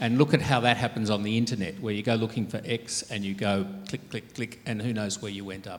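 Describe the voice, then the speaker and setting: Talking at a fairly quick pace with hardly any pauses, a man with an Australian accent uses a fairly low pitch and fairly even intonation. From Australia, Sydney. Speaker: archbishop. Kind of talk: interview on stage.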